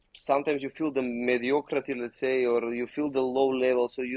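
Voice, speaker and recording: A man talks at a fairly quick pace in a medium pitch, his intonation flat and monotone. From Macedonia, raised in Spain from 14. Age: 20s. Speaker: professional basketball player. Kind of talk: casual interview chat.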